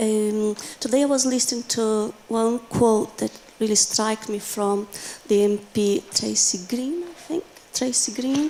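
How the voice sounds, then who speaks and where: Speaking with a non-native accent, a woman uses a fairly high pitch and ordinary pitch variation at a fairly slow pace. Noticeable background noise runs underneath. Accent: foreign. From Brazil. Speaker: teacher. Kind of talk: audience comment at conference. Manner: halting.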